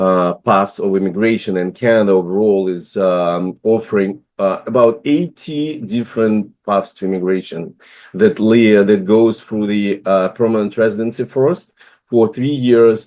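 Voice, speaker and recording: With a Russian accent, a man speaks at a fairly slow pace in a fairly low pitch, using ordinary pitch variation. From Russia, Moscow. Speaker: business immigration consultant, investor. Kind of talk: online presentation. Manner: halting, many fillers.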